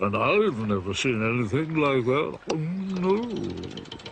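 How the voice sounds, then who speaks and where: Using a put-on character voice, a man with a medium pitch speaks fairly slowly, his pitch swinging very widely amid clear background noise. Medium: short film. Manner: hesitant, full of ums.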